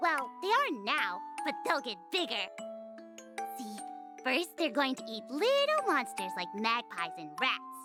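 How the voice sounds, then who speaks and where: With faint music in the background, a woman performs a put-on character voice in an enthusiastic tone at a moderate pace. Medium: game stream. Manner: bright, enthusiastic.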